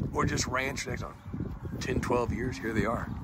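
A man at a moderate pace, dry sound with no echo, under loud background noise. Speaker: cattle seller. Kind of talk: cattle sale pitch. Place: farm machine. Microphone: phone near.

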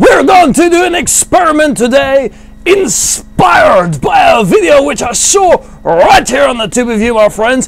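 Over light background noise, a man performs a cartoonish character voice at an extremely high pitch and a moderate pace. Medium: puppet. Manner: theatrical, playful.

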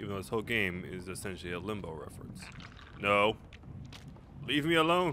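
Over noticeable background noise, a fairly low-pitched man speaks with very wide pitch swings, big swings in loudness, and long, frequent pauses. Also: fairly quick pace. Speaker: gaming YouTuber. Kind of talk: let's play commentary. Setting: home recording. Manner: casual, rambling, profane.

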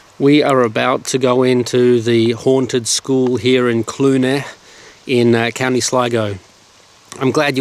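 A man speaks at a fairly slow pace in a monotone, flat intonation. The sound is dry, with no echo. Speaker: vlogger. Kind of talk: casual vlog chat. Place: street. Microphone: phone near.

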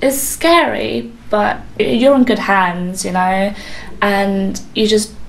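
A woman's voice moves in very wide pitch swings over noticeable background noise. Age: 20s. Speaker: student and patient sharing her experience. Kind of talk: personal testimony.

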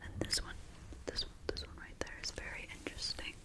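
The speaker is whispering, soft-spoken. The pace is moderate. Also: woman. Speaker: ASMR creator. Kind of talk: soft ASMR roleplay talk. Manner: soft close-mic ASMR whisper. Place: home room. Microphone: studio mic.

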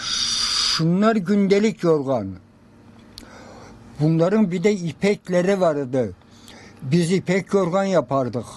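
The speech moves at a very slow pace with ordinary pitch variation and long, frequent pauses. Noticeable background noise runs underneath. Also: man, high pitch for a man. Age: 80s+. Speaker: quilt maker. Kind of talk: interview answer.

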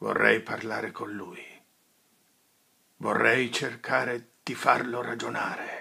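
A man puts on a raspy character voice at a fairly slow pace. Long pauses come often. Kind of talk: dramatic film monologue.

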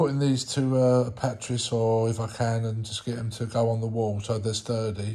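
The voice is somewhat breathy, dark and mellow in tone, with monotone, flat intonation. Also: man. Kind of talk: casual DIY walkthrough. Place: home room. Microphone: phone near.

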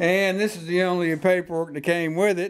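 The voice belongs to a man. He talks at a moderate speed. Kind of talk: tutorial. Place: garage. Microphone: camera far.

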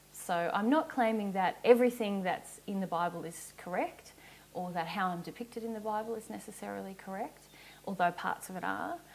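A woman speaks at a fairly quick pace in an Australian accent, her pitch medium with ordinary variation. Her loudness swings widely. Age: 30s. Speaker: spiritual teacher. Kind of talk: Q&A explanation. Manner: casual, with frequent laughs. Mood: calm, earnest. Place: home room. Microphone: lapel.

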